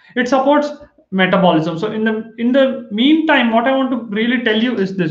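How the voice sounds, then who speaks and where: A man speaks at a fairly quick pace with ordinary pitch variation. There is audible room echo over a quiet background. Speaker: health educator. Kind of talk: lecture. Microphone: webcam.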